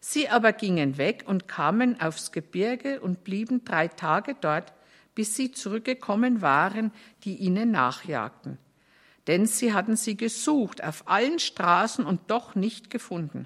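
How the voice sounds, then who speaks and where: In a very clean recording with a silent background, a woman with a normal speaking voice talks at a medium pitch with lively intonation. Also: fairly slow pace. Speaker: scripture reader. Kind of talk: reading aloud from the Bible.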